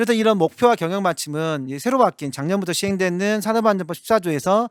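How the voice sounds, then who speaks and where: At a fairly quick pace, a man talks with very wide pitch swings, in a dry, close recording with no echo, very clean and with a silent background. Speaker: lawyer presenting at seminar. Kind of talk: seminar lecture. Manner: fast, somewhat tangled speech.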